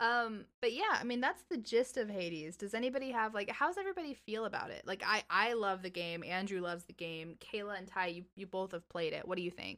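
A woman with an unremarkable speaking voice talks at a fairly quick pace with hardly any pauses, at a medium pitch with ordinary pitch variation. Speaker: podcast host. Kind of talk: casual chat.

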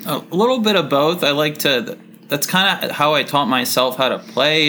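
Against noticeable background noise, a man with an American accent speaks at a fairly slow pace with ordinary pitch variation. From Florida. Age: 30s. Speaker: writer. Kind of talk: casual chat.

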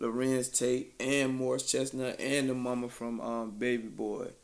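Fairly even intonation and a fairly slow pace in an ordinary speaking voice. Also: man. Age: 20s. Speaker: podcast host. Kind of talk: casual chat.

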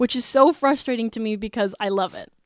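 Recorded very cleanly against a silent background, with a dry, close sound and no echo, a woman with an unremarkable speaking voice talks fairly quickly at a fairly high pitch with ordinary pitch variation. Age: 20s. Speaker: podcast host, college student. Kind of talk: casual chat.

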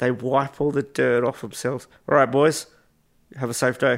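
A man talks at a moderate pace in a fairly high voice, his pitch variation ordinary. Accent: Australian. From Western Australia (Albany). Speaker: professional wrestler. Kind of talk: casual interview chat. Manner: animated, laughs often.

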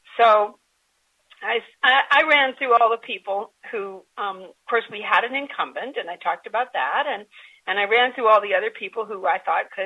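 Lively intonation runs through this moderately paced talking. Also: woman. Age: 60s. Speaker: nonprofit board leader. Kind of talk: interview. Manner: hesitant with fillers.

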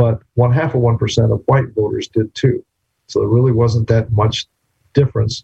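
A man with a medium pitch, a dark, mellow tone and a somewhat breathy voice speaks in a flat monotone at very even loudness, the sound dry and close with no echo. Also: moderate pace. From New Mexico. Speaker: law professor. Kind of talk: lecture.

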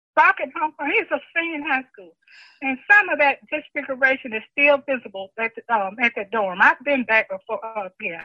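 With an American accent, a woman speaks at a moderate pace in a high pitch, her pitch swinging very widely and her loudness shifting a lot. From Mississippi. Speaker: retired teacher and guidance counselor. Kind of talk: oral history interview.

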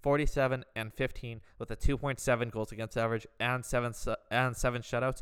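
This is an ordinary speaking voice: a man with a Canadian accent, medium in pitch, with fairly even intonation. He talks at a fairly quick pace in a very clean recording with a silent background. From Canada. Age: 20s. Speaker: sports podcast host. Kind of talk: solo podcast commentary.

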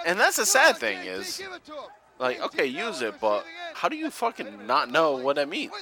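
Noticeable background noise accompanies a man speaking. His tone is animated and his pace moderate. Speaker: wrestling podcast host. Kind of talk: casual chat, watch-along podcast. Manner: animated, profane.

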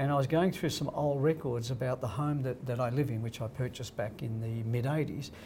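A man with an Australian accent has a dark, mellow tone that is somewhat breathy, in a medium pitch. He talks at a fairly quick pace with fairly even intonation. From Australia (Crookwell, rural New South Wales). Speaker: real estate company founder. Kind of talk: casual interview.

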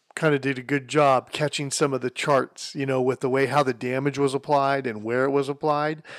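A man with a fairly high pitch talks in an animated, energetic tone at a fairly quick pace. He has hardly any pauses, and the recording is very clean with a silent background. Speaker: podcast co-host. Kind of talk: casual banter. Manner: animated, joking, energetic.

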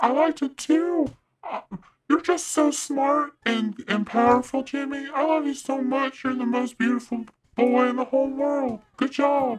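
The voice sounds female and sits at a high pitch. She talks at a moderate pace. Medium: audio drama. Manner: gushing, adoring.

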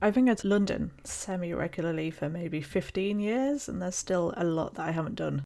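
A woman talks with a British accent. Her pitch is fairly low and her pace fairly quick. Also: ordinary pitch variation, hardly any pauses. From UK. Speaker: podcast co-host, PhD student. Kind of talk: casual chat, podcast discussion.

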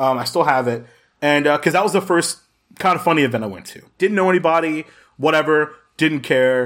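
A loud man with an American accent speaks in a fairly high pitch and an animated tone. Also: ordinary pitch variation, fairly quick pace. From Jacksonville, Florida. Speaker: podcast guest, gaming community member. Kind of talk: casual chat.

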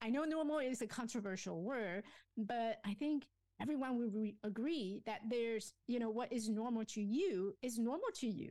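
Speaking with a Chinese accent, a woman has a fairly high pitch, ordinary pitch variation and a dark, mellow tone. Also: moderate pace. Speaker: life coach and author. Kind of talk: interview. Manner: self-effacing, hesitant with fillers.

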